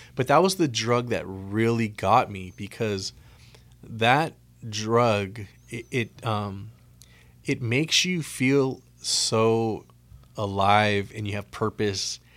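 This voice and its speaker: A man with an American accent at a very slow pace, on a very clean recording with a silent background. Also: medium pitch for a man, ordinary pitch variation. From US West Coast, Oxnard, California. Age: 40s. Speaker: former addict sharing testimony. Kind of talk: testimony. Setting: radio studio.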